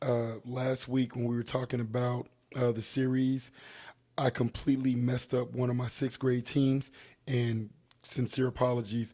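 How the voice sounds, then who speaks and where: Over a silent background in a very clean recording, a man speaks at a moderate pace with a medium pitch and a dark, mellow tone. His voice is somewhat breathy, and his intonation is monotone and flat. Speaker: youth basketball coach and sports show co-host. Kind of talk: casual sports talk show chat.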